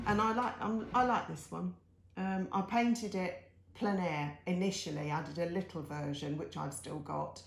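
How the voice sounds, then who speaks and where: A woman keeps a moderate pace with noticeable background noise and audible room echo around her voice. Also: fairly low pitch for a woman, lively intonation. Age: 60s. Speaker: artist. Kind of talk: casual talk-through of paintings on video. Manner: chatty, with fillers and self-corrections.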